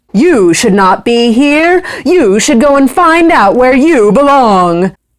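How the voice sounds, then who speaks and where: In a put-on character voice, a woman speaks high and fairly slow, with very wide pitch swings but very even loudness. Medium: read story.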